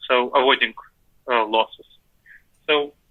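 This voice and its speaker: A man with a former Soviet accent. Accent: former Soviet Union accent, kept. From Moldova, moved to New York City at 10. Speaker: decision-making scholar and author. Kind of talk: interview.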